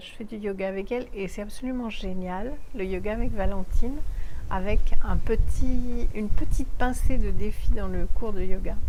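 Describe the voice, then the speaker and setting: A woman speaks at a moderate pace with a dark, mellow tone and fairly even intonation, her loudness swinging widely, and the room echo is audible. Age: 60s. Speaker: vlogger. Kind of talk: video diary review. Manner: halting, many fillers.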